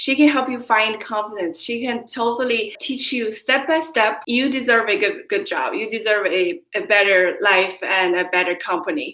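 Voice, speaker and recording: A woman with a non-native accent talks at a moderate pace, with hardly any pauses. Her intonation is lively. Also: fairly high pitch for a woman. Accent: foreign. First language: not English. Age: young. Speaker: job-coaching client. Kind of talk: interview testimonial.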